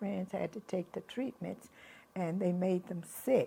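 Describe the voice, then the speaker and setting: This woman has a Texas accent and a medium pitch. Her tone is dark and mellow, somewhat breathy, with fairly even intonation. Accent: Southern US (Texas). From Houston, Texas. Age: 80s+. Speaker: grandmother. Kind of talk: interview answer.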